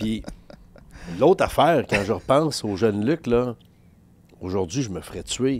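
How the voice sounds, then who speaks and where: Medium in pitch, a man talks in an animated tone. He leaves long, frequent pauses. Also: lively intonation. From Quebec. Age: 50s. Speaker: sports journalist. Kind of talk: casual chat.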